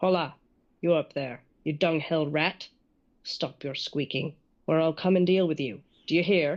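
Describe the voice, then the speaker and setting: The speaker uses a put-on character voice, growling at a middle pitch. The pace is moderate and the background quiet. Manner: snarling, bullying.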